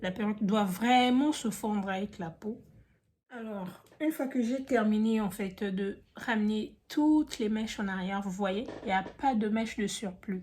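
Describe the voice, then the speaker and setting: A woman is speaking at a fairly high pitch. Her voice is somewhat breathy. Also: ordinary pitch variation, fairly slow pace. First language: not French (speaking French). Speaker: beauty youtuber. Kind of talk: tutorial. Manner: casual, chatty.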